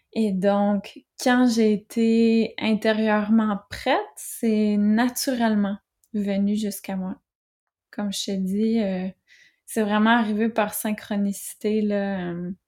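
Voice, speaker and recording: Delivered in a Quebec accent at a very slow pace, the speech has long, frequent pauses and a monotone, flat intonation, on a very clean recording with a silent background. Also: woman, fairly high pitch for a woman. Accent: Québécois French. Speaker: author and entrepreneur. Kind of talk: interview.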